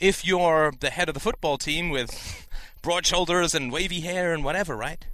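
A man speaks at a high pitch and a moderate pace. His tone is bright and sharp. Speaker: podcast host, philosophy commentator. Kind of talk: monologue, philosophical talk.

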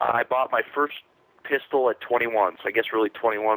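This man has a medium pitch. His intonation stays fairly even. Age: 20s. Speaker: caller, competitive shooter. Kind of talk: call-in conversation.

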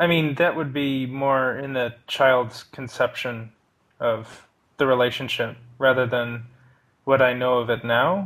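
A man talks at a fairly slow pace. He has an ordinary speaking voice. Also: medium pitch for a man. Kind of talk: personal conversation about therapy. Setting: voice call.

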